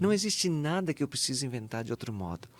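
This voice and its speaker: A man's voice swings very widely in pitch. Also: very clean recording, silent background. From southern Brazil, Santa Catarina. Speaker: Capuchin friar and author. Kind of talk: interview conversation.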